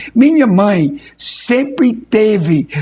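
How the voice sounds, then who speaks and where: This man speaks with a non-native accent, his high-pitched voice carried by lively intonation. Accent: foreign accent in Portuguese. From Australia. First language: English (speaking Portuguese). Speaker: pastor. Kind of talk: testimony interview. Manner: halting, repeats words.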